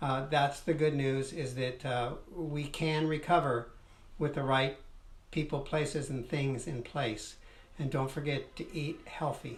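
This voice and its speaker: Audible room echo surrounds a somewhat breathy man with a fairly high pitch, speaking at a fairly slow pace with fairly even intonation. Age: 60s. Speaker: host's husband, covid survivor. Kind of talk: casual live chat. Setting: Facebook live video stream.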